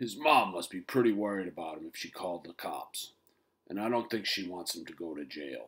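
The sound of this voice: This is an unforced reading voice. It carries the words along.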